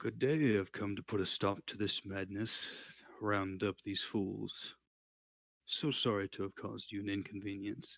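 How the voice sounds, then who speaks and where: In a put-on character voice, the speaker booms at a moderate pace with ordinary pitch variation. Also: man, fairly low pitch for a man. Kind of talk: polite, formal. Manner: authoritative and charismatic.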